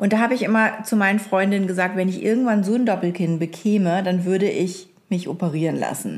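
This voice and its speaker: A woman uses a normal speaking voice at a medium pitch, moving at a fairly quick pace with hardly any pauses, very even loudness and fairly even intonation. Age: 40s. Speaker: podcast co-host. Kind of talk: casual chat.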